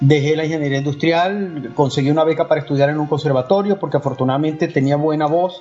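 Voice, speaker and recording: Music plays in the background as a man speaks. He goes at a very fast pace with hardly any pauses. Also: fairly high pitch for a man, fairly even intonation. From Venezuelan Andes (Valera). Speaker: opera tenor. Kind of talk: interview.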